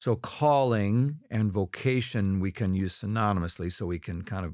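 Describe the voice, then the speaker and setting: A normal speaking voice from a man with an American accent, fairly low in pitch with ordinary pitch variation, at a moderate pace on a very clean recording with a silent background. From US Midwest, Minnesota. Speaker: pastor. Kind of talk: casual chat.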